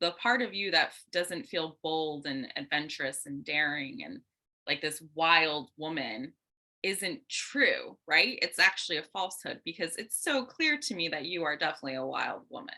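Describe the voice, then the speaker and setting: A woman speaks at a moderate pace with a fairly low pitch, an animated tone and lively intonation. Her tone is bright and sharp, with big swings in loudness. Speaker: dating and relationship coach. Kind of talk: casual chat.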